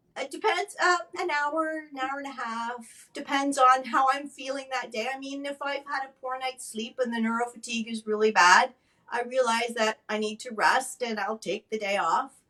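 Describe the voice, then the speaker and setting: Projecting a raised voice with hardly any pauses, a woman speaks at a moderate pace and high pitch with ordinary pitch variation. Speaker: stroke advocate and former nurse. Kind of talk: interview testimony.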